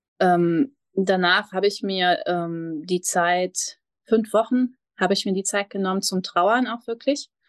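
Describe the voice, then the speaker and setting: The voice moves at a very slow pace with ordinary pitch variation, recorded with a dry, close sound with no echo against a quiet background. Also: woman, medium pitch for a woman. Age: 30s. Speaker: mindfulness coach. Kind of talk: podcast interview.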